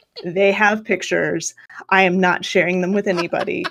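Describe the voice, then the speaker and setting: A woman with an American accent uses a plain, everyday voice at a medium pitch and a moderate pace. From Kansas, US. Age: 30s. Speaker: live stream co-host. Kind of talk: casual chat. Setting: live stream.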